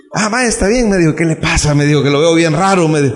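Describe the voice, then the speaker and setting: Very fast speech with lively intonation, audible room echo and noticeable background noise. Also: man. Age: 40s. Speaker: pastor. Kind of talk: sermon. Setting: church.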